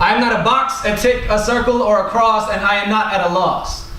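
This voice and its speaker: Amid noticeable background noise and audible room echo, a man with a high pitch talks at a moderate pace using fairly even intonation. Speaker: performance poet. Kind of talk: spoken word poetry performance.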